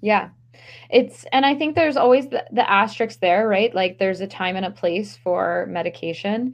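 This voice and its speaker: A woman's vocal fry with an American accent, moderate pace and lively intonation. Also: medium pitch for a woman. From Maryland. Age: young. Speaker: stress management coach. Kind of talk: casual interview.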